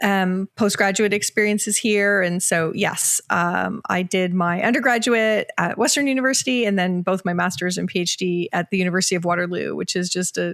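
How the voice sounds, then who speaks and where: A woman with a slight Canadian accent talks at a fairly quick pace and medium pitch, with ordinary pitch variation, very even loudness and a dry, close sound with no echo. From Canada, Ontario. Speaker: organizational psychologist and author. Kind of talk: podcast interview.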